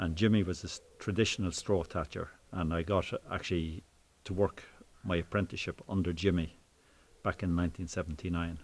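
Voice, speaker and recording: A man with a very deep, low voice talks at a fairly quick clip, keeping his intonation fairly even. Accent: Waterford. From Ireland, Waterford City. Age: 60s. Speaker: thatcher. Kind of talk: interview. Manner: casual, hesitant with fillers.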